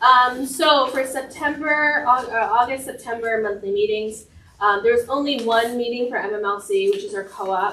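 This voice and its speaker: With an American accent and a high pitch, a woman speaks at a moderate pace with lively intonation, and audible room echo fills the recording. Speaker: library staff manager acting for director. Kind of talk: staff report at public board meeting. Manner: loud.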